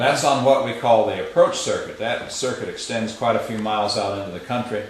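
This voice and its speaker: A man speaks very fast in a Central Ohio accent. Noticeable background noise runs under his voice. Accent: Central Ohio, US Midwest. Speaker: retired railroad tower operator. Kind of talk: on-site demonstration explaining equipment. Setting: indoors in a signal tower.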